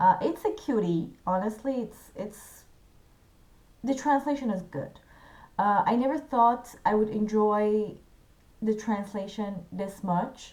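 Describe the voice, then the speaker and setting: With long, frequent pauses, a woman speaks at a fairly slow pace in a fairly high, somewhat breathy voice with lively intonation. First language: not English, not French. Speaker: literature video creator. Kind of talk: tutorial. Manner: halting.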